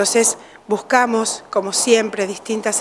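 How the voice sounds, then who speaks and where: A woman's fairly high, fairly slow voice over light background noise. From Uruguay. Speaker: children's home director. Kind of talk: interview. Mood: warm, grateful. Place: office. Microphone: studio mic.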